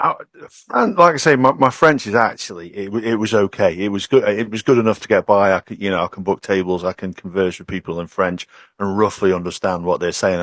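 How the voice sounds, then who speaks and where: A quiet-backgrounded, dry, close recording of a man with a British accent, fairly low pitch, ordinary pitch variation and a fairly quick pace. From UK. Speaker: podcast guest. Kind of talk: casual chat.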